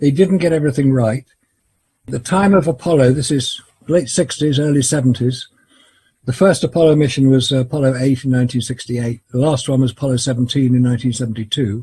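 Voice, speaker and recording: A man talks at a very fast pace and medium pitch with an English accent. His tone is dark, mellow and somewhat breathy, and his pitch varies in an ordinary way. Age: 70s. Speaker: photography expert and Apollo skeptic. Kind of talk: interview.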